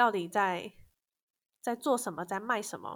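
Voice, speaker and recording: On a very clean recording with a silent background, a woman with a Taiwanese accent speaks at a medium pitch and moderate pace with fairly even intonation. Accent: Taiwanese Mandarin. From Taiwan, Kaohsiung. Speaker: copywriter. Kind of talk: interview.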